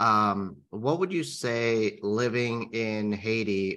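A man with an ordinary speaking voice, fairly low pitch and ordinary pitch variation. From California. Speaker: podcast co-host, interviewer. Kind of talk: interview.

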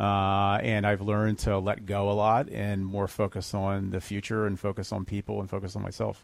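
Speaking with an American accent at a moderate pace, this voice has a monotone, flat intonation and hardly any pauses, captured on a very clean recording with a silent background. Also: man, fairly low pitch for a man. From New Jersey, Monmouth County. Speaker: startup founder and CEO. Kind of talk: radio interview.

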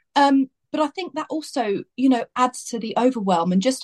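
A woman with an English accent speaks at a moderate pace with very wide pitch swings. Her voice is somewhat breathy, with a dry, close sound and no echo. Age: 30s. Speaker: makeup artist. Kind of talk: casual chat. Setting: video call.

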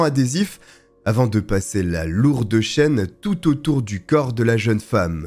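Over music in the background, the voice takes a solemn, dramatic tone at a fairly slow pace. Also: man. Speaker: true crime storyteller. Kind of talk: true-crime narration. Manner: solemn, measured storytelling with dramatic, grave emphasis on the horrors; steady, fluent, scripted-sounding delivery.

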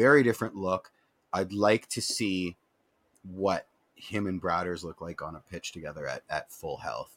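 A man with a very deep, low pitch and a Canadian accent, moderate in pace, ordinary pitch variation, big swings in loudness, and a dry, close sound with no echo. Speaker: football fan podcast co-host. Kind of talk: casual chat. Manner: loud, no inside voice.

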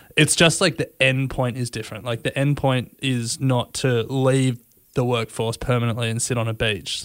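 With an Australian accent, the speaker talks at a moderate pace in a very clean recording with a silent background. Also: man, medium pitch for a man, fairly even intonation. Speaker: podcast co-host. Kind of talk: casual chat.

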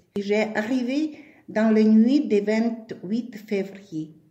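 A woman's fairly high voice with a dark, mellow tone, ordinary pitch variation and audible room echo. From Ukraine, Kyiv. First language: Ukrainian or Russian (speaking French). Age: 70s. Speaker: war refugee. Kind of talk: testimony. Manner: halting.

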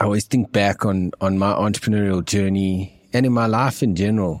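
A man's ordinary speaking voice, fairly low in pitch, with fairly even intonation, on a very clean recording with a silent background. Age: 40s. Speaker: tech company CEO. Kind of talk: interview.

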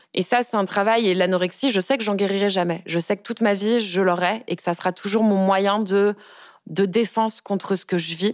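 A woman speaks at a moderate pace at medium pitch with fairly even intonation, an ordinary speaking voice. The recording is very clean with a silent background. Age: 20s. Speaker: communications officer sharing personal story of harassment. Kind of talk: testimony. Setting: studio.

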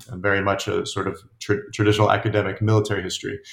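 A man with an American accent talks in a fairly low pitch that is somewhat breathy. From upstate New York, US. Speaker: author and journalist. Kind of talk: interview. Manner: halting, many fillers and repetitions.

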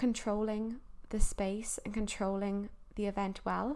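A woman speaks in a Cork accent. Her pitch is medium. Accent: Irish, Cork. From Ireland, Cork. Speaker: podcast host. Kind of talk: solo advice talk.

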